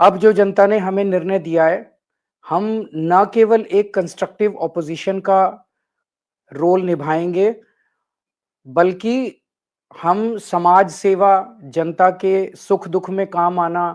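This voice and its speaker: A man speaks at a high pitch with fairly even intonation. The recording is very clean, with a silent background. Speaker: politician. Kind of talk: political concession speech.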